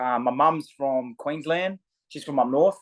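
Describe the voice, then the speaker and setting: A man with an Australian accent, heard against a quiet background. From Australia, Sydney southern suburbs. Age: 20s. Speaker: MMA fighter. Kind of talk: casual interview chat. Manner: halting, many fillers and repetitions.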